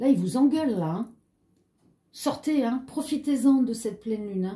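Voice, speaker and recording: A woman talks at a moderate pace with lively intonation. Her tone is dark and mellow, and somewhat breathy. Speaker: tarot card reader. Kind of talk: tarot reading video. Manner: animated.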